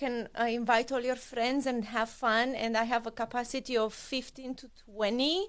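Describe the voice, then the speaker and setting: With a Romanian accent, a woman speaks at a fairly slow pace in a high-pitched voice over a quiet background. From Romania, Bucharest. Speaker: cookware sales consultant. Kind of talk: interview.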